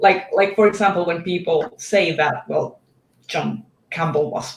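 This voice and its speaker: The voice moves at a fairly slow pace with a non-native accent. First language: not English. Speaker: book video creator. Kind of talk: casual chat.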